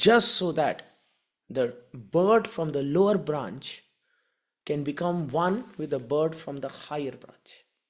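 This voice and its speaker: A non-native accent at a very slow pace. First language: not English. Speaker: spiritual care educator. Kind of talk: lecture.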